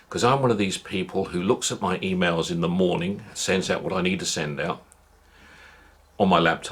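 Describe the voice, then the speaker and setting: A man's very deep, low voice moves along at a fairly quick pace. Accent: British. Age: 60s. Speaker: vlogger. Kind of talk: casual monologue. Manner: halting, many repetitions.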